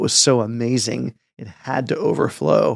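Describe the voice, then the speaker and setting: Using a normal speaking voice, a man with an American accent talks at a medium pitch with ordinary pitch variation. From San Francisco Bay Area suburbs, US. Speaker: pastor. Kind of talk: casual chat.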